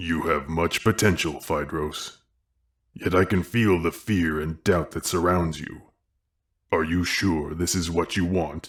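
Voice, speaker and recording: Putting on a character voice, this man talks fairly slowly with a very deep, low pitch. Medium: read story. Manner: calm, knowing, unhurried.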